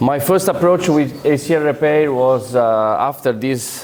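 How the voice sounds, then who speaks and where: With an Italian accent, a man speaks at a fairly slow pace amid audible room echo and noticeable background noise. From Italy, Rome. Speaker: orthopaedic surgeon. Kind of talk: conference lecture. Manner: halting, with many fillers.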